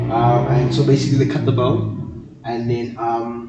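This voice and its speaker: A man speaks at a medium pitch in a monotone, flat intonation. Audible room echo and noticeable background noise fill the recording. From South Africa, Johannesburg. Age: 20s. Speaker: student and podcast guest. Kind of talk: interview. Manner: halting.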